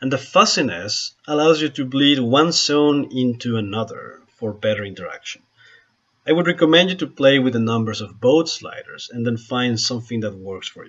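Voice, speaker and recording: With a strong Spanish accent, a man speaks at a moderate pace using lively intonation. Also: medium pitch for a man, big swings in loudness. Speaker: photographer and software tutorial maker. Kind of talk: software tutorial screen-recording narration.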